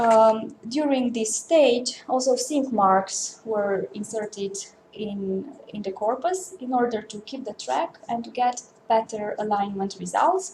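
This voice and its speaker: Over noticeable background noise, a woman with a Romanian accent speaks very slowly at a fairly high pitch with lively intonation. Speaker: linguist researcher. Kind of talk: conference talk. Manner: halting.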